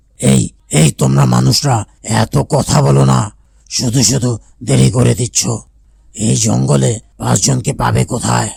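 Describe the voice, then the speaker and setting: In a cartoonish character voice, a man speaks very deep and low with a raspy sound. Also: moderate pace. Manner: impatient, blunt.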